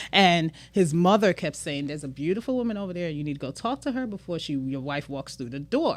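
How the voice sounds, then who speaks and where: An animated woman with a Trinidadian accent and fairly low pitch, very fast with hardly any pauses and very wide pitch swings, on a very clean recording with a silent background. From Brooklyn, New York, Trinidadian household. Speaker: business owner. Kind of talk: casual chat.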